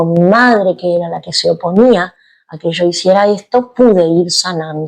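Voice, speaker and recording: She speaks with a Rioplatense accent. Her pace is fairly slow. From Argentina, Buenos Aires. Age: 60s. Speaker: yoga teacher. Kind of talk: interview.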